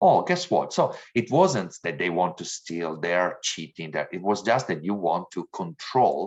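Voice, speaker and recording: The speaker has an Italian accent and talks at a fairly slow pace. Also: man. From Italy. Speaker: diversity trainer. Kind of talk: training lecture.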